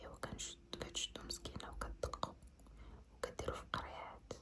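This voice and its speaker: A woman whispers in a gentle tone at a moderate pace. Noticeable background noise can be heard. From Morocco. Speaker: ASMR creator. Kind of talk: ASMR roleplay, friendly makeup artist talking to the viewer. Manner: soft, gentle, intimate.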